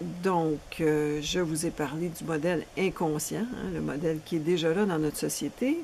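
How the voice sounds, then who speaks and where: A woman speaks with a very deep, low pitch at a fairly slow pace. Her pitch varies in an ordinary way over noticeable background noise. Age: 60s. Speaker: relationship coach. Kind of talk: promotional seminar presentation.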